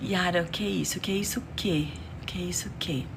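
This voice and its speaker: In a room with audible echo and noticeable background noise, a soft-spoken woman whispers at a fairly quick pace. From Romania. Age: 50s. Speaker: beauty youtuber. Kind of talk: casual livestream chat while doing makeup. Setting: live stream. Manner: soft-spoken, near whisper.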